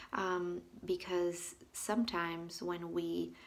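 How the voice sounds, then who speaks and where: A woman's voice carries audible room echo. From Colombia. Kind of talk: devotional vlog talk. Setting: bathroom at home. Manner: halting.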